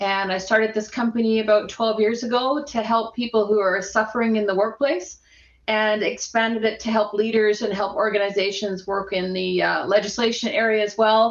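Monotone and flat in intonation, the speaker uses a Canadian accent at a moderate pace. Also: woman, fairly high pitch for a woman. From Edmonton, Alberta, Canada. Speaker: workplace harassment expert and social worker. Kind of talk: casual interview chat.

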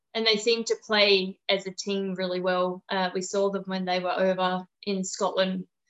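A woman's medium-pitched voice with an Australian accent, fairly slow and in a monotone, flat intonation, with a dry, close sound and no echo. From Perth, Western Australia. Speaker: amateur football club president and coach. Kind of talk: casual interview.

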